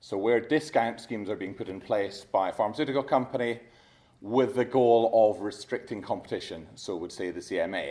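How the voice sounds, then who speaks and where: A man's dark, mellow tone in a Scottish accent, medium pitch with ordinary variation, fairly quick, on a very clean recording with a silent background. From Scotland. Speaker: competition lawyer. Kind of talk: conference talk. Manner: fast; halting.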